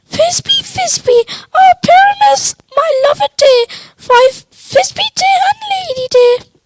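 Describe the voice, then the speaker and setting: This squeaky, put-on character voice sits at an extremely high pitch and moves at a fairly slow pace. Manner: theatrical, pleading.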